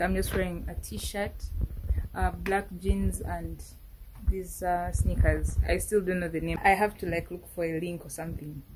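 At a moderate pace, a woman with a Ugandan accent talks over noticeable background noise. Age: 20s. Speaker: university student vlogger. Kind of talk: casual talk to camera. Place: home room. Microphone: phone near.

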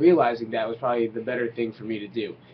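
Ordinary pitch movement from a man speaking fairly quickly. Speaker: fitness coach. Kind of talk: casual vlog chat. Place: home room. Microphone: webcam.

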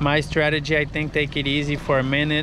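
Speaking at a moderate pace, a man comes across dry with no echo over noticeable background noise. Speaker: fishing guide. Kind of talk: casual vlog chat. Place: boat. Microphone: phone near.

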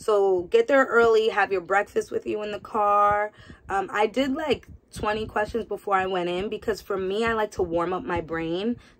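The speaker is a woman at a medium pitch. She keeps a moderate pace with ordinary pitch variation. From New York. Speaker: nurse. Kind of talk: casual vlog. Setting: home. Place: home room. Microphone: phone near.

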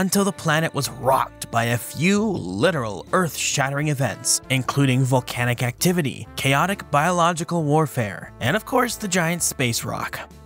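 Lively intonation at a moderate pace comes through over music in the background. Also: man. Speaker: science educator. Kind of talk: documentary narration.

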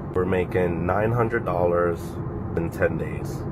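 Heavy noise fills the background while a man talks. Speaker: car rental host. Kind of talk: casual vlog chat. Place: car. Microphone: phone near.

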